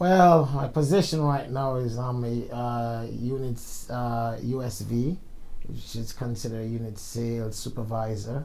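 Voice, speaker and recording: In a Jamaican accent, a man with a medium-pitched voice speaks at a fairly slow pace with ordinary pitch variation, with audible room echo around him. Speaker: insurance sales supervisor. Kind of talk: casual interview.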